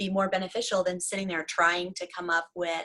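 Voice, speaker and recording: The tone is bright and sharp, delivered with a Southern US accent. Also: woman. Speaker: devotional author and writing coach. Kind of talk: casual interview chat.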